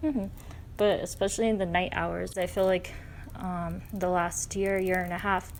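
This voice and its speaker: Audible room echo surrounds a woman with a medium pitch. She keeps a moderate pace and fairly even intonation. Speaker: spiritual channel. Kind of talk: casual chat. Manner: hesitant, halting in places.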